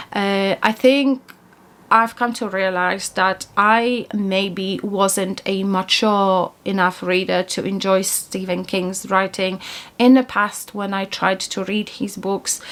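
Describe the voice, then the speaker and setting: A woman speaks at a very slow pace in a Polish accent, her intonation fairly even. The recording is very clean, with a silent background. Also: medium pitch for a woman. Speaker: book YouTuber. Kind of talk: casual monthly book review vlog. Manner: hesitant, with fillers and restarts.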